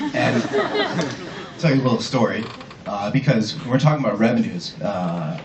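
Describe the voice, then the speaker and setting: Audible room echo and noticeable background noise accompany a man whose pitch swings very widely. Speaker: ad-tech innovation manager, conference speaker. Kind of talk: conference talk. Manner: casual, storytelling.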